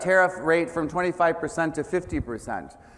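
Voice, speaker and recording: The voice, with an American accent, carries audible room echo. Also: man. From United States. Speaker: business executive, keynote speaker. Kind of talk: conference keynote. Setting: stage with audience.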